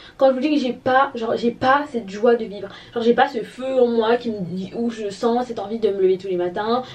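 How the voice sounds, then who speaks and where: A woman with a high pitch and ordinary pitch variation speaks at a fairly quick pace over noticeable background noise. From Gabon. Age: 20s. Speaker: lifestyle vlogger. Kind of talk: casual talk to camera.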